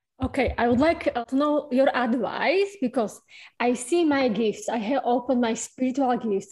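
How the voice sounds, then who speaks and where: A woman's high-pitched voice with a strong non-native accent, ordinary pitch variation and a moderate pace, over a quiet background. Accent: strong foreign. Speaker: audience member asking a question. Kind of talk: live Q&A question. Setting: video call. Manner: halting.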